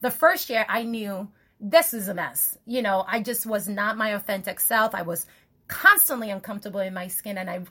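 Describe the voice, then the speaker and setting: A woman's voice has a bright, sharp tone and big swings in loudness. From Nigeria. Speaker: podcast host. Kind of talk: casual chat.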